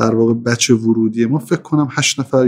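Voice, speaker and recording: With a normal speaking voice and a medium pitch, a man talks at a fairly quick pace with fairly even intonation. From Iran, Mashhad (Khorasan). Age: 30s. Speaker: business manager. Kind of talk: interview.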